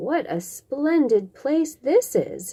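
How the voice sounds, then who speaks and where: A woman's high, put-on character voice with very wide pitch swings. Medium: read story. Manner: plain, honest.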